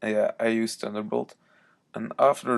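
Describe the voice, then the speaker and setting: A man with a Belgian accent speaks in a dry, close sound with no echo. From Belgium. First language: not English. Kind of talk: video game commentary. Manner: casual, hesitant.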